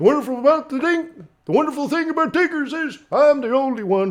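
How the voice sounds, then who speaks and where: In a put-on character voice, a man speaks at an extremely high pitch. He talks at a very fast pace. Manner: bouncy, playful.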